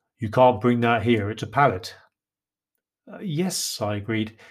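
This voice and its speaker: The recording is very clean and the background silent. A man talks with an English accent. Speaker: author and podcaster. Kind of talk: storytelling narration.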